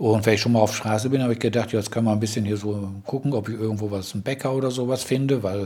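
A man speaks with fairly even intonation at a fairly low pitch. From Germany, Ruhr area (Dortmund). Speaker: blind German expat, host's husband. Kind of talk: casual chat. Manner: halting, many fillers.

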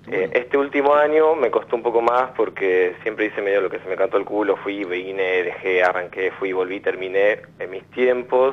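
An ordinary speaking voice belongs to this man with a medium pitch. He talks at a moderate pace with ordinary pitch variation and hardly any pauses. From Argentina, Buenos Aires area (Quilmes). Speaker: caller. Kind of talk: phone-in counselling conversation.

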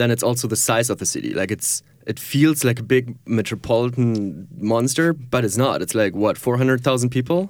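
In a very clean recording with a silent background, a man with a German accent talks at a fairly quick pace, with ordinary pitch variation and hardly any pauses. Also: medium pitch for a man. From Germany, near Düsseldorf. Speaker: filmmaker and photographer. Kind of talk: interview. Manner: laughs often.

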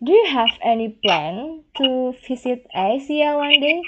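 Speaking at a very slow pace, a woman with an Indonesian accent uses a high pitch. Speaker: podcast host. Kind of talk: interview. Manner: halting, non-fluent English.

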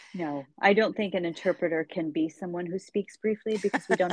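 A woman talks in an American accent with ordinary pitch variation. It is a normal speaking voice. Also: dry, close sound with no echo. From United States. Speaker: podcast host and interpreter. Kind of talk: interview.

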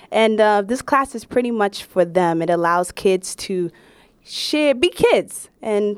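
A woman's medium-pitched voice with a Brooklyn accent, on a very clean recording with a silent background. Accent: New York (Brooklyn). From Brooklyn, New York. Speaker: stand-up comedian. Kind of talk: casual interview.

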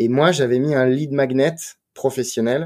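On a very clean recording with a silent background, a man speaks at a fairly quick pace in a dark, mellow tone. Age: 30s. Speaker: wine marketing director. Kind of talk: podcast interview.

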